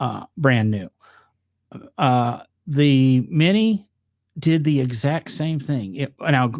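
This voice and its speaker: In a northern US accent, a man with a fairly high pitch and lively intonation talks at a very slow pace with long, frequent pauses, the sound dry and close with no echo on a very clean recording with a silent background. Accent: northern US accent, noticeable on some words. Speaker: podcast host. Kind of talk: casual chat.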